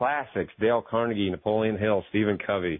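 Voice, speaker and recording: A man is talking. His delivery is fairly quick. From New England, Maine. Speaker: success coach and author. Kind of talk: interview.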